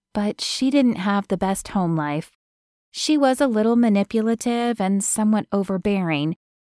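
Quiet background behind a natural reading voice.

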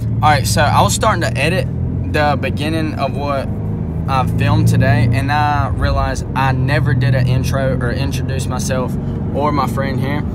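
Music plays in the background as a man speaks with a dry sound and no echo. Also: moderate pace. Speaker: first-time vlogger. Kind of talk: casual vlog chat. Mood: relaxed, friendly. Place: car. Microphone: phone near.

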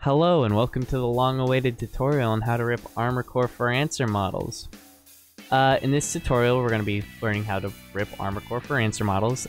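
Over music in the background, a man with a medium-pitched voice talks at a fairly quick pace with fairly even intonation. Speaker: 3D model ripping tutorial maker. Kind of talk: software tutorial narration. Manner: stuttering, hesitant.

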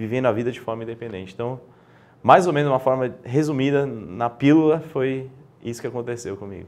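Ordinary pitch variation marks a man's very fast speech. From Brazil, São Paulo. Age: 20s. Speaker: guest, illness survivor; interview guest. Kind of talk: interview conversation. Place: studio. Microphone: lapel.

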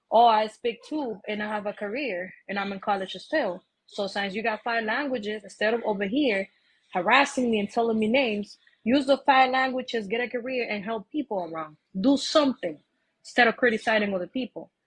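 Somewhat breathy and fairly high in pitch, a woman talks at a fairly quick pace with ordinary pitch variation. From Dominican Republic. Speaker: livestream call-in guest; guest. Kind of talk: casual discussion. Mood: argumentative, indignant. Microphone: phone near.

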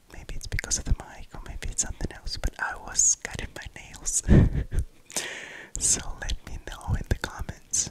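Whispering, a man speaks with long, frequent pauses. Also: moderate pace. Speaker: ASMR creator. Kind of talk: ASMR whispering to camera. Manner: whispered. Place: home room. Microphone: studio mic.

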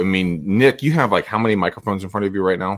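A man speaks with a fairly low pitch, ordinary pitch variation and a fairly bright tone.

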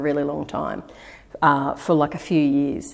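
Over a quiet background, a woman with an Australian accent speaks in a very deep, low voice. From Australia, Eora Nation (Sydney). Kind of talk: interview answer. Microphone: lapel.

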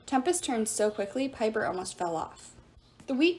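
Natural-voiced reading out loud

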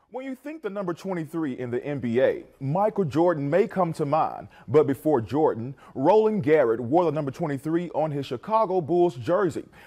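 Against a quiet background, a man in a normal speaking voice talks at a moderate pace with a fairly high pitch, lively intonation and hardly any pauses. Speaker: TV news reporter. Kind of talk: TV news report.

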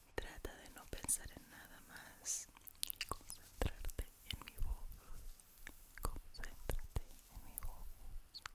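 Whispering and soft-spoken, a woman talks at a very slow pace in a soothing tone, with long, frequent pauses. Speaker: ASMR creator. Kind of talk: guided relaxation whisper. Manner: soft soothing whisper, very close mic. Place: home room. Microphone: studio mic.

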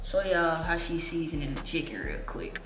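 At a moderate pace, a woman talks while noticeable background noise carries on. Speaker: vlogger. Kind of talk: casual vlog chat. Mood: relaxed, casual. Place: home room.

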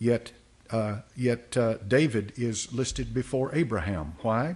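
The voice is somewhat breathy. It belongs to a man. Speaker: pastor teaching Sunday school. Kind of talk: sermon. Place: church. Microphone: podium.

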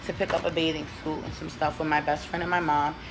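A woman speaks with faint music in the background. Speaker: beauty vlogger. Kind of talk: casual vlog chat. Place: home room. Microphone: phone near.

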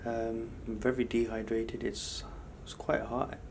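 A man talks at a fairly slow pace in a monotone, flat intonation. Light background noise can be heard. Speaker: travelling vlogger. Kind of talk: casual vlog chat. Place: home room. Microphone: phone near.

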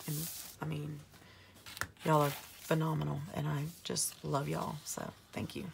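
Noticeable background noise under long pauses that come often. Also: woman, moderate pace. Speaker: planner YouTuber. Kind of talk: casual plan-with-me video. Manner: chatty, friendly.

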